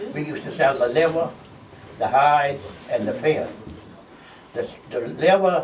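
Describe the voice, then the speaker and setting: There is noticeable background noise and audible room echo as a man talks at a moderate pace, his loudness swinging widely, with long, frequent pauses. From Bahamas, Green Turtle Cay. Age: 80s+. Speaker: retired fisherman. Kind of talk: storytelling talk. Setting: stage with audience. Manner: halting.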